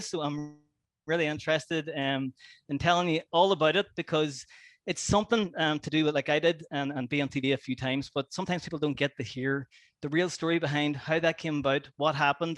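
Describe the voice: Fairly quick pace, fairly bright tone and fairly even intonation. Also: man, fairly high pitch for a man.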